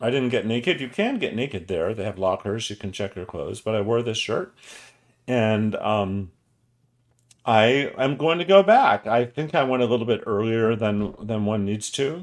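Here is a man with a plain, everyday voice at medium pitch. He talks at a moderate pace with lively intonation. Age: 60s. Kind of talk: live interactive panel show. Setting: live online broadcast.

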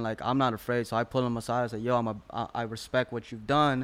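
The speaker is a man at a medium pitch. He talks at a fairly quick pace. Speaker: music industry A&R person. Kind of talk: casual interview. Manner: repetitive, halting with fillers.

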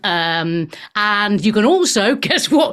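The speaker is a woman with a medium pitch. Her tone is fairly bright.

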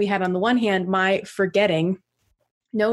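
This woman's pitch is medium. Her intonation stays fairly even. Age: 30s. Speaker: priest and podcast co-host. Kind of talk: casual chat. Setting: remote internet recording.

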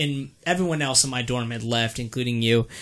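This man has an unremarkable speaking voice at a medium pitch, with an American accent and fairly even intonation. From Maryland, near DC. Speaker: teacher. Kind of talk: casual chat.

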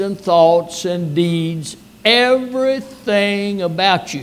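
A man with a Louisiana accent, high in pitch with very wide pitch swings and a very slow pace. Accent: Southern US (Louisiana). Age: 90s. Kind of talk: sermon. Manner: folksy, conversational.

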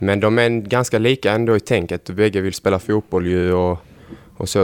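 An unremarkable speaking voice from a man, fairly low in pitch, at a fairly quick pace with fairly even intonation. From Ängelholm, Skåne, Sweden. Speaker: footballer. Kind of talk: interview.

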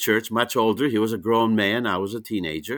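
With a Greek accent and a bright, sharp tone, a man speaks at a moderate pace in a very clean recording with a silent background. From Greece. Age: 60s. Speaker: wrestling promoter and commissioner. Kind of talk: casual interview. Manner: long-winded storyteller; laughs often, warm.

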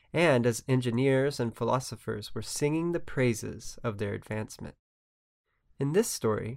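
In a very clean recording with a silent background, a man has a normal speaking voice at medium pitch, moderate pace and ordinary pitch variation. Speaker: podcast co-host. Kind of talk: podcast intro and outro reading.

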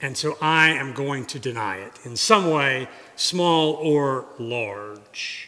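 A man with a fairly high voice speaks very slowly, his intonation lively and his loudness swinging widely, with audible room echo. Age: 50s. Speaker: guest preacher. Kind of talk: sermon. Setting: church. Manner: conversational.

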